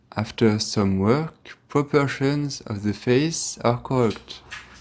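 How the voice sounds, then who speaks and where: A man with a French accent talks at a very slow pace. His pitch varies in an ordinary way. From France. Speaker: Latin teacher and game developer. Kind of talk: tutorial.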